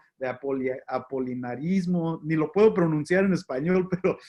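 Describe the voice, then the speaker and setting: A man with a slight non-native accent speaks at a fairly slow pace. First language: English (speaking Spanish). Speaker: pastor. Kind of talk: lecture. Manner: halting.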